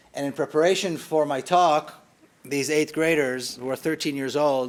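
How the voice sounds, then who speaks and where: Moderately paced speech from a man, fairly high in pitch, with rather level intonation. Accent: Israeli. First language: Hebrew. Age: 50s. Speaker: author and activist. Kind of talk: public lecture. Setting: hall with live audience.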